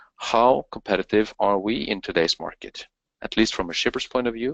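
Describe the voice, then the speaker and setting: Speaking at a moderate pace with ordinary pitch variation and a Norwegian accent, the man comes through in a dry, close sound with no echo. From Norway. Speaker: company co-founder. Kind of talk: webinar presentation. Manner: halting.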